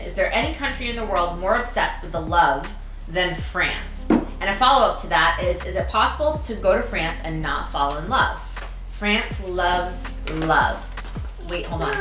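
A woman's voice over clear background music. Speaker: mother hosting family snack tasting. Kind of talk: reading aloud and casual family chat. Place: home room.

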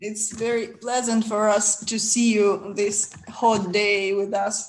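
A woman with a Ukrainian accent, fairly high in pitch, very slow and monotone with flat intonation. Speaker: webinar host. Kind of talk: webinar moderation. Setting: video call. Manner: halting.

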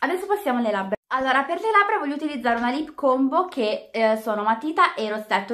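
A woman talks very fast in a high, bright, sharp voice. Her pitch swings very widely over a quiet background. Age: just turned 18 (high school final year). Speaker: beauty vlogger. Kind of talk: makeup tutorial vlog. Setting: at home in bedroom. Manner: casual, chatty. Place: home room. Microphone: webcam.

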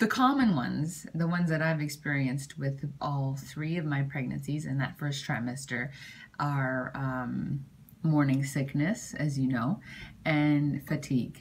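This woman's voice is very deep and low, and somewhat breathy. She speaks at a fairly slow pace with fairly even intonation. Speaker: pregnancy vlogger. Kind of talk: casual vlog chat. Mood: cheerful, chatty. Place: home room.

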